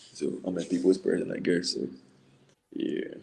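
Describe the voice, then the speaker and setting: The speaker is a man with a Ghanaian accent. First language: not English. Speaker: college basketball player. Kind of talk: casual interview.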